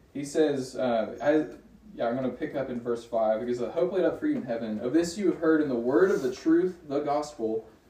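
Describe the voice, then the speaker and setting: This man's delivery is fairly quick. Noticeable noise sits behind him. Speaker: bible study leader. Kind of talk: group bible study. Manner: casual, animated.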